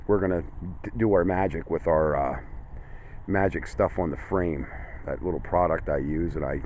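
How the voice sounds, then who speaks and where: A man's very deep, low voice at a moderate pace with ordinary pitch variation, dry with no echo, over light background noise. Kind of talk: casual vlog commentary. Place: open country. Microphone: phone near.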